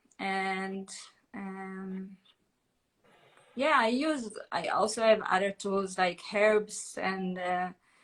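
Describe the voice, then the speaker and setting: Pausing long and often, a woman speaks at a very slow pace in a medium pitch with ordinary pitch variation. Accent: Israeli. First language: Hebrew. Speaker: holistic therapist. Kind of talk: casual chat. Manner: halting.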